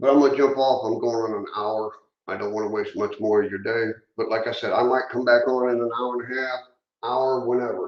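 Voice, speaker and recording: A man's mumbling, medium-pitched voice at a fairly quick pace, with fairly even intonation. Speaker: model railroad hobbyist youtuber. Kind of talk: casual live stream chat. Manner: rambling, halting with fillers.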